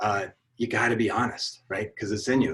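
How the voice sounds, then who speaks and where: Here is a man with an ordinary speaking voice. He keeps a moderate pace and ordinary pitch variation. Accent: American. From US South, New Orleans. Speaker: advertising creative director. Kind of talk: conference talk. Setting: video call.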